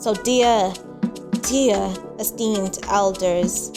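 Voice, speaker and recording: A woman's voice with ordinary pitch variation and music in the background. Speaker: spoken word poet. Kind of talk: spoken word poetry performance.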